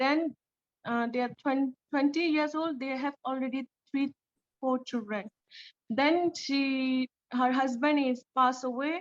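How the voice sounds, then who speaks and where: With a high pitch and fairly even intonation, a woman talks with long, frequent pauses. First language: not English. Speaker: refugee community leader. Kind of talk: panel Q&A answer. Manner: halting.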